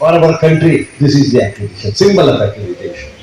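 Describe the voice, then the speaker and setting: A man is speaking with audible room echo. Music plays in the background. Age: 70s. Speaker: chief guest speaker, professor. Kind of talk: ceremonial speech.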